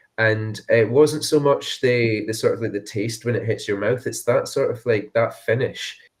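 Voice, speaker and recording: A man with a Dundee accent, hardly any pauses in his speech. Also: moderate pace. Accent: Scottish (Dundee). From Scotland, Dundee area. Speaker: whisky brand ambassador. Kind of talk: casual chat. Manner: hesitant, many fillers.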